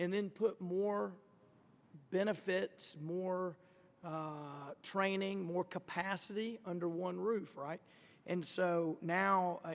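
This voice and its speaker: A man speaks with an Arkansas accent in a high voice. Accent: Arkansas Southern. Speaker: congressman. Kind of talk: congressional hearing questioning.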